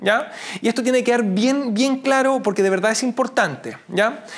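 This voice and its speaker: Extremely high-pitched man at a moderate pace, ordinary pitch variation, noticeable background noise. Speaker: teacher. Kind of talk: lecture. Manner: halting.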